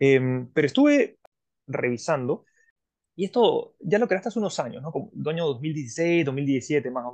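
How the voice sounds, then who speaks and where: A man with a fairly high pitch speaks at a moderate pace, his intonation lively and his loudness swinging widely. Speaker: podcast host. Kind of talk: interview. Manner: halting, many repetitions.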